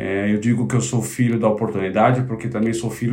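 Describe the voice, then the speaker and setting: Noticeable background noise behind a man's voice, medium in pitch and ordinary in its pitch variation. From São Paulo city, Brazil (north zone). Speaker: tech company executive. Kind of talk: interview.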